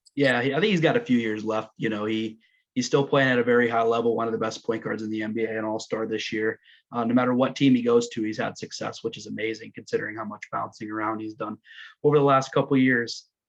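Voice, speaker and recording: Against a quiet background, a man talks at a very fast pace with a medium pitch and fairly even intonation, with a western Pennsylvania accent. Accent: western Pennsylvania American. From western Pennsylvania, Ridgway. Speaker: sports blog host. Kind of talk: casual interview.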